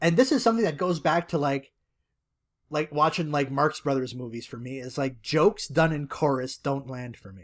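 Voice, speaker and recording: In a plain, everyday voice, a man talks at a moderate pace and fairly high pitch, with ordinary pitch variation, big swings in loudness, and a very clean recording over a silent background. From Canada. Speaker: podcast co-host. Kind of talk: casual chat.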